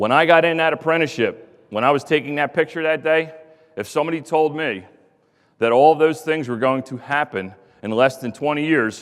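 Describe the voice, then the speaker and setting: Here is a man with a Philadelphia accent and a fairly high pitch. He talks at a fairly quick pace in an animated tone. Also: ordinary pitch variation. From US Northeast, Philadelphia. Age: 40s. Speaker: contractor executive, former pipefitter apprentice. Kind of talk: conference speech. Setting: stage with audience. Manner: fast.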